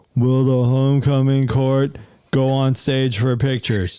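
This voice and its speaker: In a put-on character voice, a man speaks at a medium pitch and a moderate pace. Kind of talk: announcer. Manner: announcing.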